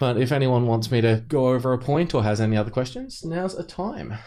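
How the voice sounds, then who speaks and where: A man at a fairly quick pace with hardly any pauses and lively intonation. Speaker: game developer giving a talk. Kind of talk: casual chat. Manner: fast.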